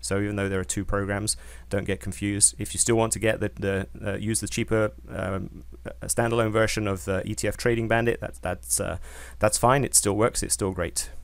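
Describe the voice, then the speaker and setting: A man with a British accent speaks at a fairly quick pace in a fairly low voice with vocal fry. His pitch swings very widely. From Britain. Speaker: software company founder and trader. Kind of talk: webinar presentation. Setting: online webinar. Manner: hesitant, many fillers.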